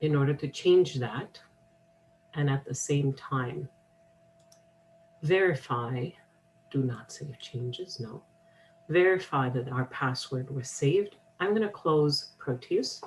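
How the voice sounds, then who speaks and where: A somewhat breathy woman speaks at a very slow pace, with a very deep, low pitch and long, frequent pauses. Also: ordinary pitch variation. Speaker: college instructor. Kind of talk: software tutorial.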